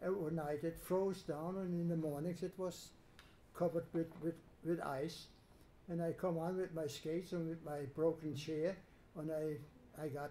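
A man's dark, mellow voice, high-pitched for a man, with flat, monotone intonation at a moderate pace and light background noise. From Germany. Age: 80s+. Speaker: Holocaust survivor. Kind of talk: testimony talk to students. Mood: calm, reflective storytelling. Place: classroom. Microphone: handheld.

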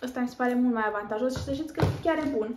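High pitch from a woman, with noticeable background noise behind it. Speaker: lifestyle vlogger. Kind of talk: haul video chat.

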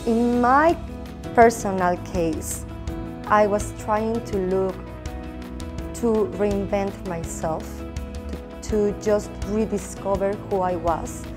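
With clear music in the background, a woman speaks very slowly in a Spanish accent, leaving long, frequent pauses. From Mexico. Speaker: former teacher and recent MBA graduate. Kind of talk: interview answer. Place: meeting room. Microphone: lapel.

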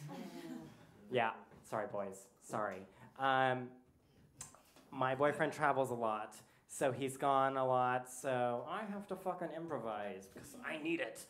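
Speaking at a fairly slow pace with long, frequent pauses, a man with an American accent uses lively intonation. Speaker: comedy show host. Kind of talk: stand-up. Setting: stage with audience. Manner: animated. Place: cafe. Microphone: handheld.

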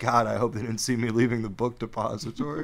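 A man puts on a raspy character voice at a medium pitch, speaking at a very fast pace. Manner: panicked, guilty.

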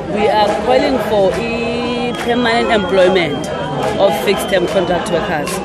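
The sound is dry with no echo, with crowd noise in the background. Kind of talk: interview answer. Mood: firm, determined. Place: street. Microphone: handheld.

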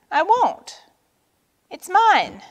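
The speaker uses a put-on character voice at a very slow pace. The pitch swings in big leaps. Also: woman, extremely high pitch for a woman.

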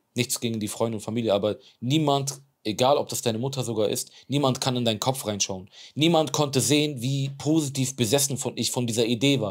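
This man talks at a fairly quick clip with a medium pitch and ordinary pitch variation. The background stays quiet. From Germany, Bremen; Germany. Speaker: extreme athlete; podcast guest. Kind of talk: interview. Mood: earnest, reflective storytelling. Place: studio. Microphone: lapel.

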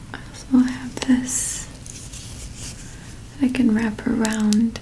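A soft-spoken voice with a gentle tone keeps a monotone, flat intonation over light background noise. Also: woman. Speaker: ASMR creator. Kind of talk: ASMR roleplay, caring first aid scenario. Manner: soft-spoken, gentle, caring. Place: home room.

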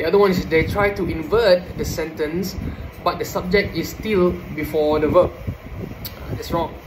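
Over noticeable background noise, a man with a Malaysian accent speaks at a moderate pace. His pitch is high and his intonation fairly even. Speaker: student; presenter. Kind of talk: oral presentation; lecture. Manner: halting. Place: home room. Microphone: phone near.

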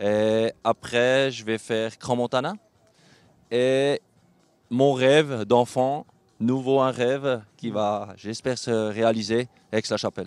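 Over music in the background, a man speaks at a very slow pace with fairly even intonation and long, frequent pauses, the sound dry and close with no echo. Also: medium pitch for a man. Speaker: show jumping rider. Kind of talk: interview. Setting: at a live horse show event. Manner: halting.

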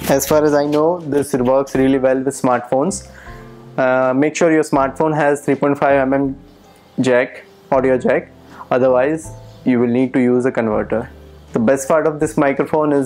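Faint music runs in the background as the speaker goes at a moderate pace with long, frequent pauses. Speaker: product reviewer. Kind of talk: product review talk. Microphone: lapel.

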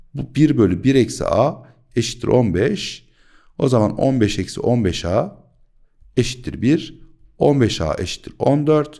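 Very slowly, with long, frequent pauses, a man with a dark, mellow tone and vocal fry speaks at a medium pitch with lively intonation against a quiet background. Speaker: math teacher. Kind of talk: tutorial. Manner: animated. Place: home room. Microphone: studio mic.

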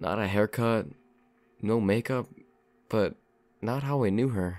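In a very clean recording with a silent background, a man with a fairly low voice talks at a fairly slow pace with fairly even intonation. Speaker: narrator reading a horror story. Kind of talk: creepypasta horror narration, first-person story read aloud.

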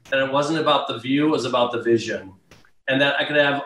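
A man is speaking. His voice carries an audible room echo. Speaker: remote guest. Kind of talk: interview answer. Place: home room. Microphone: video call.

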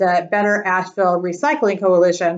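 The background stays quiet. A woman talks, her intonation fairly even. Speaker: presenter. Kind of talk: presentation talk. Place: home room. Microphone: webcam.

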